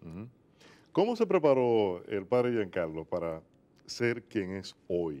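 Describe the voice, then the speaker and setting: Very slowly, a man with a fairly low pitch talks in a dark, mellow tone with lively intonation. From Dominican Republic. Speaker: TV program host. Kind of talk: religious TV interview. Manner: animated. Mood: warm, earnest, religious. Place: studio. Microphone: lapel.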